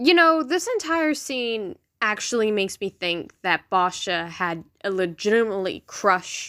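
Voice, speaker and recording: A woman speaks at a fairly slow pace with lively intonation and a bright, sharp tone. The recording is very clean, with a silent background. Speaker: fan commentator. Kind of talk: casual commentary. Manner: unscripted, stumbling over words.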